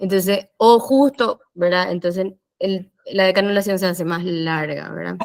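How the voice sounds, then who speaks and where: At a fairly slow pace, a woman talks in an ordinary speaking voice with fairly even intonation and a medium pitch. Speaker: physiotherapist. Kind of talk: lecture.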